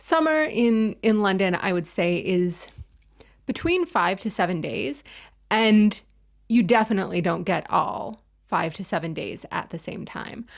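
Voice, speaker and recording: In a very clean recording with a silent background, a woman with an American accent and an unremarkable speaking voice talks at a fairly slow pace, her medium pitch carrying lively intonation. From United States. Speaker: knitting video creator. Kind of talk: casual vlog chat.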